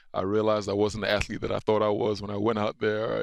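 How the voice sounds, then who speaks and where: This man talks at a very fast pace with a fairly low pitch. The sound is dry and close with no echo, over a quiet background. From Nigeria. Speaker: retired football player. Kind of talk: casual interview.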